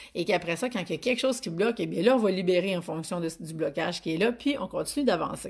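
The speech runs at a very fast pace with hardly any pauses. Intonation is lively, and the background is quiet. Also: woman, medium pitch for a woman. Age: 40s. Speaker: business coach. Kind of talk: live stream talk. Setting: online live video broadcast. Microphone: phone near.

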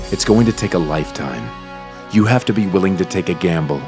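Over background music, a man with an American accent and a very deep, low pitch speaks at a moderate pace with lively intonation. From United States. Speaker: voice over artist. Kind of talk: poetic historical narration.

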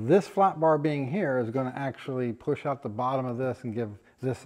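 With ordinary pitch variation, a man talks at a moderate pace over a quiet background. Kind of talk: tutorial commentary. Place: workshop. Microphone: phone near.

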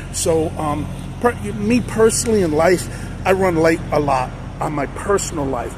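The sound of this man's voice is dry, with no echo. Noticeable background noise runs beneath it. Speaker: truck driver vlogger. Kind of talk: casual vlog chat. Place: street.

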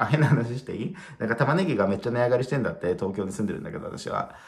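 Over a quiet background, a man talks at a very fast pace in a somewhat breathy voice. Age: 30s. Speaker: spiritual video blogger. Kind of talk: casual solo talk to camera. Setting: at home, late at night. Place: home room. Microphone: phone near.

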